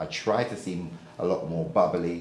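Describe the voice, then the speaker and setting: A man with a British accent speaks at a very deep, low pitch with ordinary pitch variation. Room echo is audible. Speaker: property lettings trainer. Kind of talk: feedback session.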